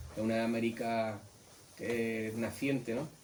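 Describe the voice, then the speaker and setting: Speaking at a very slow pace, a man of medium pitch is heard with audible room echo and noticeable background noise. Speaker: illustrator. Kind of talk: book presentation talk. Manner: halting.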